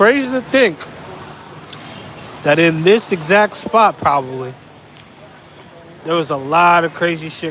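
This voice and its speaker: Over noticeable background noise, a man with a fairly high pitch talks fairly slowly with lively intonation, big swings in loudness, and long, frequent pauses. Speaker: travel vlogger. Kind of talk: casual vlog monologue. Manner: repetitive, rambling.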